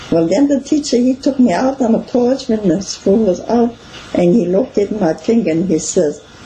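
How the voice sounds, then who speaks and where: Over noticeable background noise, a woman speaks at a moderate pace with a fairly high pitch. Her loudness stays very even. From Wisconsin, rural German immigrant family. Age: 80s+. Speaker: local history interviewee. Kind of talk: oral history interview. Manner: halting.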